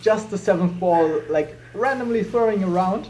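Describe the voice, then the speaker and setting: A man with a German accent speaks in a high pitch. His pace is moderate and his pitch variation ordinary. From Germany. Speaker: juggler. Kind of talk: casual video commentary.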